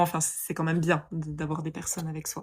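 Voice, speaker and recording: A woman's fairly low-pitched voice at a moderate pace, in a very clean recording with a silent background. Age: 20s. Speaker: yoga teacher. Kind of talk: testimony. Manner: hesitant, many fillers.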